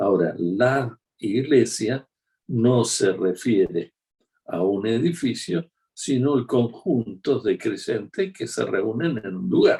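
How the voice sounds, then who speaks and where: A man's medium-pitched, dark and mellow voice, somewhat breathy, with lively intonation and a very slow pace. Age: 60s. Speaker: preacher. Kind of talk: sermon. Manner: conversational.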